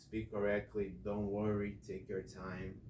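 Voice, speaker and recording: A man's somewhat breathy, fairly low voice with a dark, mellow tone and a non-native accent, at a fairly slow pace amid audible room echo. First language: not English. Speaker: English teacher. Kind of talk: classroom instruction.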